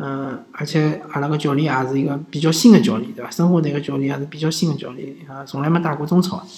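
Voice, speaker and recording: Noticeable noise sits in the background. The speaker talks very fast in a Shanghai accent. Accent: Shanghainese-accented Mandarin. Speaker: sports podcast host. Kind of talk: casual commentary. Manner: halting, many fillers.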